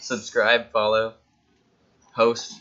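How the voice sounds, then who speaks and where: A man speaks at a fairly slow pace in a normal speaking voice. His pitch is medium. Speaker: tabletop game stream commentator. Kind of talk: live commentary.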